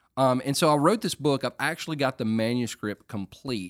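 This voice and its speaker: A man speaks in an unremarkable speaking voice at medium pitch and a moderate pace, with lively intonation on a very clean recording against a silent background. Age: 40s. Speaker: pastor and podcast host. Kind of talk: casual talk, teaching on relationships.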